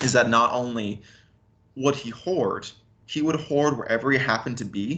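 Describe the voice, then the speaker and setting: At a moderate pace with long, frequent pauses, a man speaks in a bright, sharp tone at medium pitch with ordinary pitch variation. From western US, moved around. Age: 20s. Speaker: son of a militia leader. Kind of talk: interview. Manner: halting.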